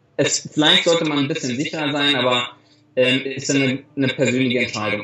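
A fairly high-pitched man against noticeable background noise. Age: 30s. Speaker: travel blogger and influencer. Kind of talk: interview. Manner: halting, many repeated words.

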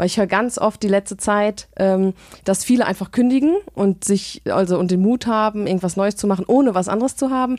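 At a fairly quick pace, a woman talks at medium pitch with ordinary pitch variation and very even loudness, the sound dry and close with no echo. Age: 20s. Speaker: event manager and podcaster. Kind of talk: casual chat.

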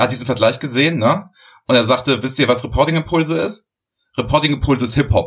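A man talks at a very fast pace with a medium pitch and ordinary pitch variation. His voice is somewhat breathy. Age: 50s. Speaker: business intelligence podcast host. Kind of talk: casual chat. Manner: animated.

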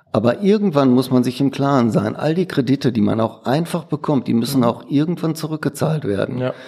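In a slight Ruhr accent, a man speaks at a fairly quick pace with hardly any pauses, his loudness very even. His fairly high pitch carries a dark, mellow tone and ordinary pitch variation. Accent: Ruhrpott dialect, slight. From Ruhr area, Duisburg. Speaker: print shop owner. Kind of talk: interview.

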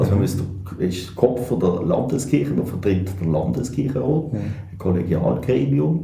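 Very deep and low, a man's voice swings very widely in pitch at a moderate pace. The recording carries audible room echo and noticeable background noise. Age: 50s. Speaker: church council president and lawyer. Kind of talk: interview.

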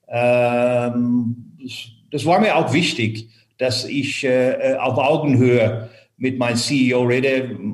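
Speaking very slowly, a man has a medium pitch and fairly even intonation. Room echo is audible. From Ireland. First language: English (speaking German). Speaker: finance executive turned headhunter. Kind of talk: interview. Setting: remote call. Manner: hesitant with many fillers.

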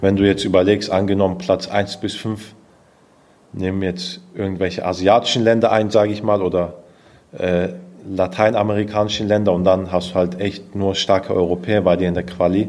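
A man speaks at a moderate pace and a fairly low pitch. His intonation is flat and monotone. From Stuttgart, Swabia (southwest Germany). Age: 20s. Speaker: taekwondo athlete. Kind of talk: interview.

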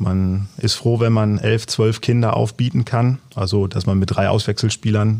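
The speaker talks at a fairly slow pace with a somewhat breathy voice, very even loudness and fairly even intonation. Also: man. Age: 40s. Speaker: amateur youth football coach. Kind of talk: casual interview.

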